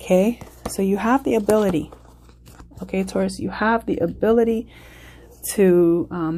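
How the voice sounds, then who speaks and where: Vocal fry runs through this woman's dark, mellow tone. She moves at a moderate pace with ordinary pitch variation. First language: not English. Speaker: tarot reader. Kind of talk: tarot reading. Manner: halting, with fillers.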